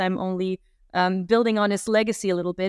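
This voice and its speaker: A woman's medium-pitched voice at a fairly quick pace, with fairly even intonation, a very clean recording with a silent background and a dry, close sound with no echo. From Flanders, Belgium. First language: Dutch. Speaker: university marketing strategist. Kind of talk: casual interview conversation. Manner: hesitant, filler words.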